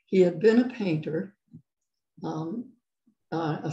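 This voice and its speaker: Against a quiet background with audible room echo, a woman speaks very slowly with vocal fry, a dark, mellow tone and a fairly low pitch. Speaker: guest. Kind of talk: interview answer. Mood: reflective, calm. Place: home room. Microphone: video call.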